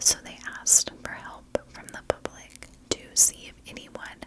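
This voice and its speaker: Loud background noise sits behind a woman speaking at a fairly slow pace. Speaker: true crime storyteller. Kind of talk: true crime narration. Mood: calm, serious. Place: home room. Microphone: studio mic.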